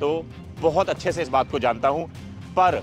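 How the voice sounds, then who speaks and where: With faint music in the background, a man speaks at a fairly slow pace in a dry sound with no echo. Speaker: fitness vlogger. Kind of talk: energetic vlog presentation to camera. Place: stadium. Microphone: lapel.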